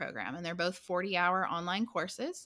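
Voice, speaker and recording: In a very clean recording with a silent background, a woman speaks at medium pitch with a bright, sharp tone. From US South, southwestern Virginia (Blacksburg). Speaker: forensic nurse educator. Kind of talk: casual interview.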